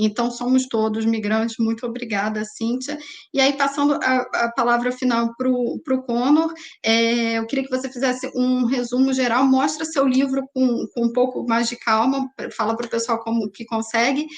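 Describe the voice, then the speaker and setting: A woman at a high pitch and moderate pace, her intonation fairly even. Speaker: web series host. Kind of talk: panel discussion.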